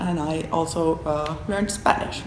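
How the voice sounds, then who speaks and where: With a Finnish accent, a woman speaks at a fairly low pitch amid noticeable background noise and audible room echo. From Finland. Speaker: professor. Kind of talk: interview; lecture. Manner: halting.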